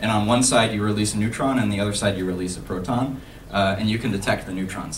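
A very fast-talking man with a fairly low pitch, over light background noise. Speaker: student maker and conference speaker. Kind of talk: conference talk. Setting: stage with audience. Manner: halting, many fillers. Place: hall.

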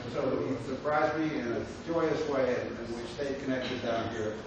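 Strong room echo and noticeable background noise surround the voice. The intonation stays fairly even. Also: man. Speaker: professor hosting a lecture series. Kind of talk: speaker introduction. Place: hall.

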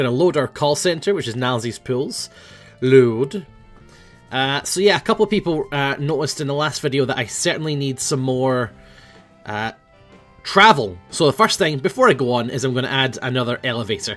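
With music in the background, a man talks at a fairly quick pace and medium pitch with a Scottish accent. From Scotland. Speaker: gaming YouTuber. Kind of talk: casual gameplay commentary.

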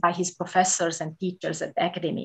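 A woman speaks with a Hungarian accent and a somewhat breathy voice. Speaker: museum director. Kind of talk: lecture. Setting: video call.

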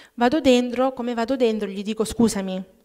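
A woman speaks at a fairly quick pace and a fairly high pitch, with fairly even intonation. Her tone is dark and mellow, and the background is quiet. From Abruzzo, Italy (childhood partly in Germany). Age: 40s. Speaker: testimony giver at prayer group. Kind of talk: testimony. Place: church. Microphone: podium.

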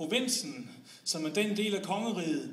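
In a room with audible echo, a man speaks in a raised, projected voice at a high pitch. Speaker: slam poet. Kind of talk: slam poem, performed spoken word with comic satire on Copenhagen versus the provinces. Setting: stage with audience. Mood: ironic, humorous. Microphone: camera far.

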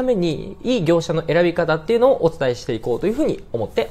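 This man talks at a very fast pace with a high pitch. His pitch swings very widely. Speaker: presenter. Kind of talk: tutorial. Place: office.

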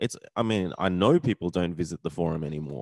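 Speaking very fast in an Australian accent, a man is heard with a dry sound with no echo against a quiet background. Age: 40s. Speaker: vlogger. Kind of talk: casual rant vlog. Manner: animated, sweary, ranting; casual, rambling with frequent fillers. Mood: frustrated, resigned. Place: home room. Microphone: studio mic.

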